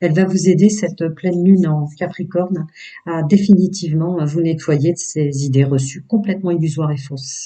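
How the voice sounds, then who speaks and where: This man's voice sits high in pitch, moving at a moderate pace with fairly even intonation. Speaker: tarot reader. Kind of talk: tarot reading. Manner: hesitant.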